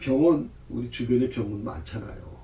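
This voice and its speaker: A man talks at medium pitch. Audible room echo surrounds his voice. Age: 60s. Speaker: pastor. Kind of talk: Bible study lecture. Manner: conversational, with frequent fillers.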